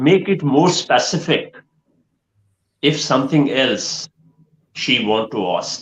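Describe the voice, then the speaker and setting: A man with a Pakistani accent speaks at a very slow pace, with long, frequent pauses. His pitch is fairly high, with vocal fry. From Pakistan, Punjab. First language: Punjabi or Urdu. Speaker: education trainer and counsellor. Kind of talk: online live Q&A session. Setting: online live stream.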